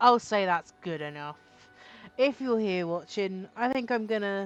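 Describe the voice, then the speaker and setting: A woman speaks with a British accent at a medium pitch. Her pace is moderate and her pitch variation ordinary. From Britain. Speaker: gaming streamer. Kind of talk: live gameplay commentary. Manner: casual, halting with fillers.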